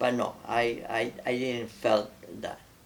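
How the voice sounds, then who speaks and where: Monotone, flat intonation from a man, with audible room echo. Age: 80s+. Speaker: war veteran. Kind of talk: oral history interview. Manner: halting.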